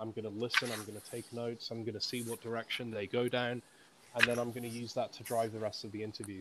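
This man has a British accent and a medium-pitched voice. He talks at a fairly quick pace. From UK. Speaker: author. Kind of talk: interview.

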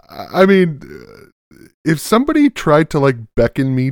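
With an unremarkable speaking voice, a man talks at a fairly slow pace and with lively intonation, the sound dry and close with no echo. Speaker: podcast host. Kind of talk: casual comedic chat.

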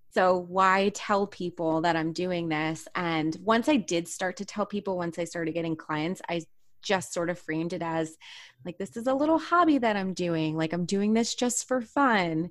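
Energetic in tone, a woman with a fairly low pitch talks at a moderate pace with ordinary pitch variation on a very clean recording with a silent background. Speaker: author, psychotherapist, mindset coach. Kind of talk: interview, casual chat. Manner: positive, energetic.

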